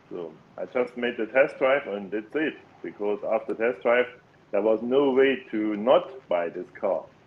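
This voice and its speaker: Over noticeable background noise, a man with a German accent talks at a fairly slow pace. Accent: non-native English, German. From Germany. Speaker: engineer and electric car owner. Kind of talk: casual podcast interview. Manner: halting, many fillers.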